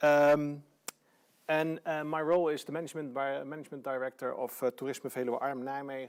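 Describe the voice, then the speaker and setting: A man with a Dutch accent, fairly high-pitched and fairly quick, in a monotone, flat delivery. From Netherlands, Friesland. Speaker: tourism organization director. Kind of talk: lecture. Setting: online live stream. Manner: halting, many fillers.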